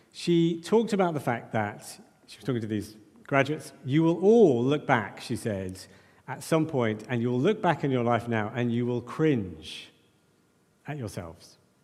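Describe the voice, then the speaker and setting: In a room with audible echo, a man of medium pitch speaks at a moderate pace, his pitch swinging very widely and his loudness shifting greatly. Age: 40s. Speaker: preacher. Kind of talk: sermon. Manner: halting.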